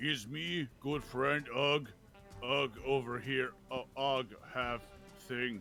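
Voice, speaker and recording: Clear background music under a put-on character voice, very slow in pace. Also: man, medium pitch for a man. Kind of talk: broken primitive speech. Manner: dim, grunting, halting.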